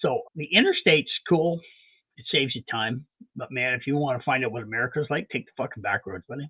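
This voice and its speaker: With a Canadian accent, a man with a plain, everyday voice speaks at a medium pitch, his pitch varying in an ordinary way while his loudness swings widely. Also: fairly quick pace. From Canada. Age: 60s. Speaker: mechanic. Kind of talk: casual chat.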